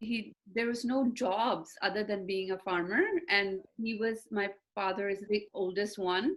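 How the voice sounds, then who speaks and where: A woman speaks at a fairly slow pace and medium pitch. Her tone is bright and sharp, her intonation fairly even. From Hong Kong, Punjabi family. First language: Cantonese. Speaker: interview guest. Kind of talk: interview. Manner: hesitant, many fillers.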